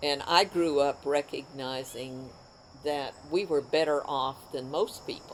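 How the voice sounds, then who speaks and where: A woman speaks with an American accent at a fairly slow pace. Her pitch is very deep and low, with fairly even intonation. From US West, northeastern Utah. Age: 80s+. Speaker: oral history interviewee. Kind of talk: oral history interview. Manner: halting.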